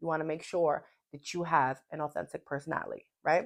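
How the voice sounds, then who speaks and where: This woman has a very deep, low pitch. She speaks at a very fast pace. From New York, Puerto Rican heritage. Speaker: podcast host. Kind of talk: casual motivational talk. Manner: animated.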